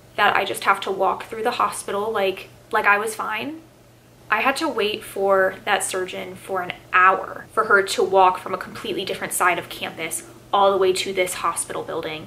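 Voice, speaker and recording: Over noticeable background noise, a woman speaks at a moderate pace with medium pitch and ordinary pitch variation. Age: 20s. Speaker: cancer survivor. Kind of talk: personal story told to camera.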